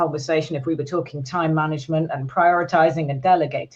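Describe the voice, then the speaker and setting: In a British accent, a woman speaks at a fairly quick pace with a very deep, low pitch. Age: 60s. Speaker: business psychologist. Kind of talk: podcast interview.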